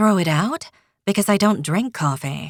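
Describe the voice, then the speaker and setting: A female-sounding voice performs a put-on character voice at a medium pitch and a moderate pace. The recording is very clean, with a silent background. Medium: read story. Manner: curt, dry.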